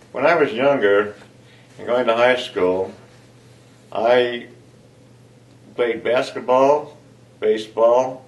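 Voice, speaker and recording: A man with an American accent speaks at a very slow pace with long, frequent pauses, a medium pitch, fairly even intonation and audible room echo. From US Midwest, southeastern Ohio. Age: 70s. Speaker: retired engineer. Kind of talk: personal interview. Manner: halting, many fillers.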